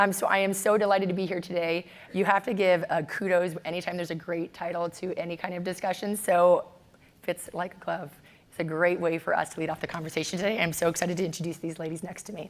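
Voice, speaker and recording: Woman with a fairly low voice at a very fast pace, in a monotone, flat intonation. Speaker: panel moderator. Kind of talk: moderated panel discussion. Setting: stage with audience.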